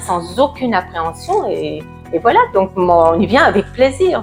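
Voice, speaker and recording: A woman speaks extremely slowly while background music plays. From France, Burgundy. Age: 70s. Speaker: dental patient. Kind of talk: testimonial interview answer. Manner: hesitant, many filler words.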